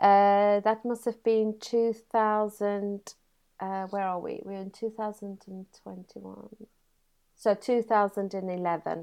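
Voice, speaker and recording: A woman at medium pitch speaks very slowly in a dark, mellow tone with monotone, flat intonation. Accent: South African. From South Africa (Free State). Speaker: computer science teacher. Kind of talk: interview.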